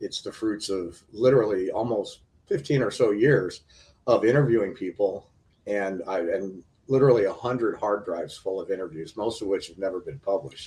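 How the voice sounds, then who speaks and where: A somewhat breathy man's voice at a medium pitch. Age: 60s. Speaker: documentary filmmaker. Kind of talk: interview. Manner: halting, many fillers.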